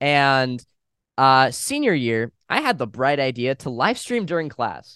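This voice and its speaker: Against a quiet background, a man with an American accent speaks at a fairly slow pace in a bright, sharp tone. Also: medium pitch for a man, ordinary pitch variation. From Los Angeles, US. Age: young. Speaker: YouTube reaction video cast member. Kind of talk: casual interview chat.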